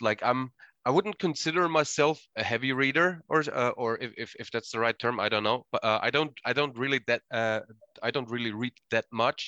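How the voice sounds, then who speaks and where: A man with a German accent speaks at a medium pitch and moderate pace, his tone bright and sharp with ordinary pitch variation. The sound is dry and close with no echo, over a quiet background. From Austria. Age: 30s. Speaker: podcast host and wrestling coach. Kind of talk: casual chat. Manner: halting.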